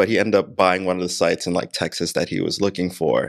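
A man with a New York accent speaks at a moderate pace and a fairly low pitch with ordinary pitch variation. The recording is very clean with a silent background. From Queens, New York. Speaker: digital marketing and video production company owner. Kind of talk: casual chat. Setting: podcast room.

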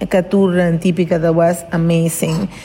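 Music plays in the background while a woman with a Spanish accent talks at a moderate pace and a medium pitch. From Venezuela. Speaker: lawyer and competition volunteer. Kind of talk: interview storytelling.

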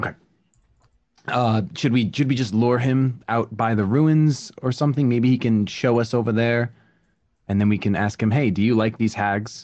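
The man has an unremarkable speaking voice at a medium pitch. He talks at a moderate pace with fairly even intonation and very even loudness.

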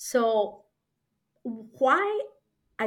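A woman with a Spanish accent. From Peru. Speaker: author and consultant. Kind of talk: interview.

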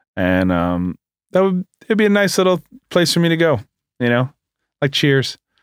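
With a New York accent, the speaker goes at a moderate pace with long, frequent pauses and very wide pitch swings, in a dry, close sound with no echo on a very clean recording against a silent background. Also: man, fairly high pitch for a man. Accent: New York American. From New York area, US. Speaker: bagel shop founder. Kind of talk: casual interview. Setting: studio.

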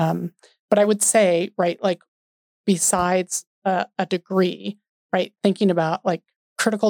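A woman's ordinary speaking voice with an American accent, medium in pitch, fairly slow, with fairly even intonation, in a dry, close sound with no echo on a very clean recording with a silent background. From US West, Denver, Colorado. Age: 50s. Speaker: city planning director. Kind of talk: casual interview.

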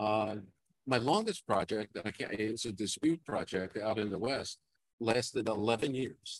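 A New York accent at a fairly slow pace, ordinary pitch variation, dry and close with no echo. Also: man. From Brooklyn, New York. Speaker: veteran geotechnical engineer, teacher. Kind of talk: casual interview. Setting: conference floor, live broadcast. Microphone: poor audio.

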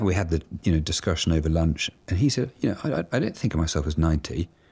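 A man with a British accent, very deep and low in pitch with ordinary variation, at a very fast pace, in a very clean recording with a silent background. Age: 50s. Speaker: advertising agency executive. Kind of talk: interview.

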